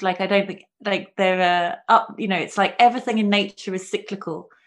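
In a very clean recording with a silent background, a woman's voice sits at a medium pitch. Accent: London. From London. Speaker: spiritual coach and healer. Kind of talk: casual interview chat.

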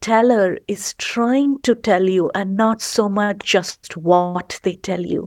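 A woman with an Indian accent at a very slow pace, ordinary pitch variation, on a very clean, dry, close recording with no echo and a silent background. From India, Gujarat. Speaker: storyteller. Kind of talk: storytelling and interview chat.

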